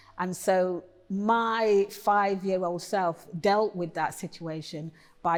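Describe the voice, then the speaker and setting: A woman's medium-pitched voice with an East Midlands accent and fairly even intonation at a very slow pace, in a very clean recording with a silent background. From Nottingham, England. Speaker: poet. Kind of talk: interview.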